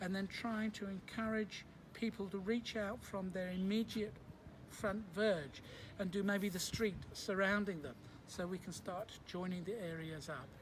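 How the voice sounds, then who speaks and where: Speaking at a fairly slow pace, a man uses a high pitch with ordinary pitch variation. He talks with a British accent. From UK. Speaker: civil engineer and local resident. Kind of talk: interview testimony. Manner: halting, with fillers.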